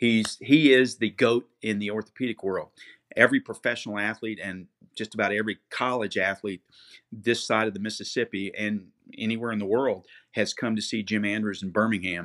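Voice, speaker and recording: Over a very clean recording with a silent background, a man talks with a normal speaking voice at a fairly quick pace. His pitch is fairly low and his intonation fairly even, and the sound is dry and close with no echo. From Florida (Cocoa Beach). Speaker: former athletic trainer. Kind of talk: interview.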